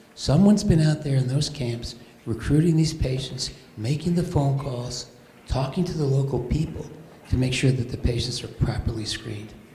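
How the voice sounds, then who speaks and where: A man talks at a moderate pace with a medium pitch and ordinary pitch variation. There is noticeable background noise and audible room echo. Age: 70s. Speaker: physician volunteer at charity event. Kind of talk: speech at fundraiser.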